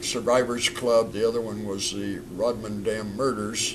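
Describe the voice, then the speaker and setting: A man's medium-pitched voice, with fairly even intonation, is heard amid audible room echo. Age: 70s. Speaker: stuntman and film director. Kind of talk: casual interview chat.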